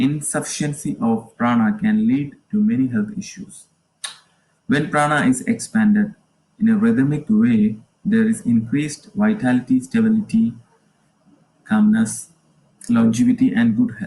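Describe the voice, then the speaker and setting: A man talks at a fairly high pitch with a dark, mellow tone that is somewhat breathy. His pitch swings very widely, and he leaves long, frequent pauses. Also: moderate pace. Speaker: yoga teacher. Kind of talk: livestream lecture. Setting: live stream on Facebook. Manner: halting.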